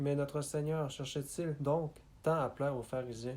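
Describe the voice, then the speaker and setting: In a Canadian French accent, a man with fairly high pitch and a dark, mellow tone speaks at a fairly slow pace in a flat monotone, recorded very cleanly over a silent background. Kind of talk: religious biography reading.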